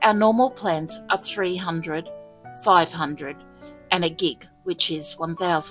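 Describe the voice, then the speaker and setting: A woman with an Australian accent talks at a moderate pace and fairly low pitch with lively intonation, music playing in the background. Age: old. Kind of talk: online story reading.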